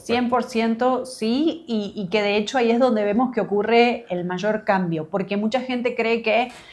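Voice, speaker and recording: Woman with an Argentine accent, fairly high pitch, ordinary pitch variation and a fairly slow pace. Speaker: business coach for creatives. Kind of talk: interview answer.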